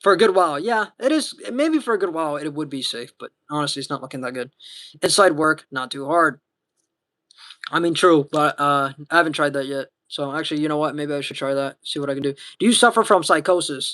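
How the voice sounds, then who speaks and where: This man's voice has a bright, sharp tone and a fairly high pitch. He moves at a fairly quick pace with ordinary pitch variation. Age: 20s. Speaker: livestreamer. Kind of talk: casual chat reading viewer comments. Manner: halting.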